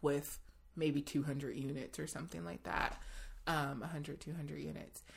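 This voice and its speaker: In an American accent, a woman with a very deep, low pitch and vocal fry talks at a moderate pace with lively intonation. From US West Coast (Los Angeles, then Seattle). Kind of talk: casual interview conversation.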